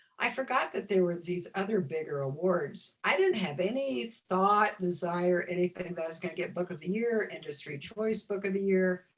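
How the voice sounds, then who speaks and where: This is an ordinary speaking voice. The pace is moderate. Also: woman. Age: 60s. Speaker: visionary artist and spiritual teacher. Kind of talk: interview.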